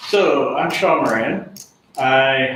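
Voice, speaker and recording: Through audible room echo and noticeable background noise, a man speaks at a fairly high pitch with ordinary pitch variation. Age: 40s. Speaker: construction manager. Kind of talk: live stream introduction. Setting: live stream.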